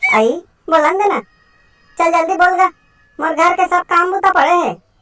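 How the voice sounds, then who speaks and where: In a cartoonish character voice, a woman speaks at an extremely high pitch, the sound dry and close with no echo. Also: fairly quick pace, ordinary pitch variation. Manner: rustic, fussy.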